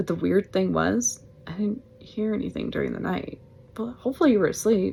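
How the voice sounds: What you hear is a natural reading voice.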